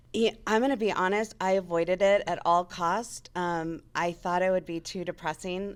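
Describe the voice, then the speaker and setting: A woman with a General American accent has an unremarkable speaking voice at medium pitch and a moderate pace, her intonation fairly even. The recording is very clean, with a silent background. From Las Vegas, US West. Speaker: radio sales manager. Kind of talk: interview. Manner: casual, conversational.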